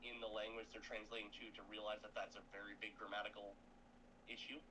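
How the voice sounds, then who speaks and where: Bright and sharp in tone, a man with a slight Canadian accent speaks very fast at a medium pitch. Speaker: gaming stream co-player. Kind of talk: casual chat.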